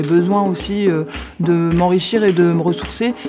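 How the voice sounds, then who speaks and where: With music playing in the background, a woman speaks at a medium pitch. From France, Châlons-en-Champagne. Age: 40s. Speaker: teacher and migrant-aid volunteer. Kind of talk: interview testimony. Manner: hesitant, many fillers.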